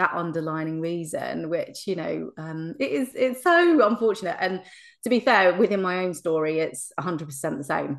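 A woman's fairly low voice in an English accent, at a moderate pace against a quiet background. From England. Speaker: hypnotherapist. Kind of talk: interview conversation.

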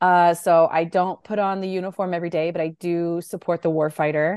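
A woman with a normal speaking voice and medium pitch talks at a moderate pace over a quiet background. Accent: General American. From US, military brat (California, Hawaii, Guam). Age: 30s. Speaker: Air Force civilian contracting officer. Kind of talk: interview.

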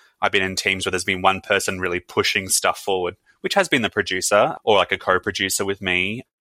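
In an Australian accent, a man talks very fast with a very deep, low pitch, fairly even intonation and a bright, sharp tone. The recording is very clean, with a silent background and a dry, close sound with no echo. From Brisbane, Australia. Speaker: podcast host. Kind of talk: interview.

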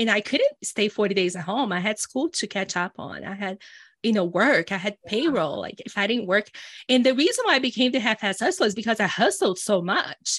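Fairly quick and lively in intonation, a woman with a Brazilian accent speaks at a fairly high pitch in a dry, close sound with no echo. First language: Portuguese. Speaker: entrepreneur and business coach. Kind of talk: casual conversational interview. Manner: animated.

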